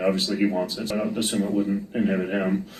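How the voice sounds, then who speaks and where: A man with a fairly low pitch, in audible room echo. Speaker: judge. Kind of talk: court hearing questioning. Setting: courtroom.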